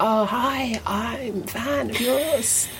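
A female-sounding put-on character voice, fairly high in pitch, against loud background noise. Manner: gushing, eager.

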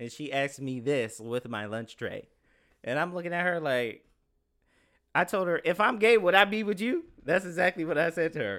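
This man has a high pitch, a bright, sharp tone and an animated tone, with very wide pitch swings at a moderate pace. The recording is very clean, with a silent background. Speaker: guest. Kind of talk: casual chat. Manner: loud.

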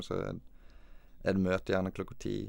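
A man with a very deep, low pitch. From western Norway, Os near Bergen. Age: 20s. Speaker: professional footballer. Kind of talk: interview. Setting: studio.

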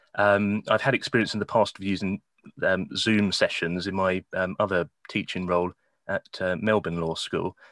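In a southern English accent, a man with a fairly low pitch speaks at a moderate pace in a monotone, flat way. The recording is very clean, with a silent background, and the sound is dry and close, with no echo. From England, Kent. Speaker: law lecturer. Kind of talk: interview.

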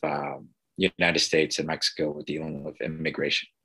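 The tone is bright and sharp. It belongs to a man. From US South, Texas border (Eagle Pass). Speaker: teacher and comic book creator. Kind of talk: interview. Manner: halting, many repetitions and fillers.

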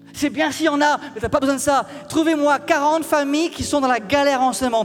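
A man with an extremely high voice talks at a fairly quick pace with fairly even intonation over noticeable background noise. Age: 40s. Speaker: pastor. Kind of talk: sermon.

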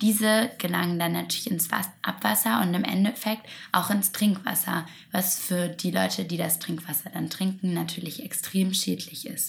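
Noticeable background noise beneath a moderate pace and ordinary pitch variation. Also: woman, fairly low pitch for a woman. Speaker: podcast co-host. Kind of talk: casual chat about sustainable fashion.

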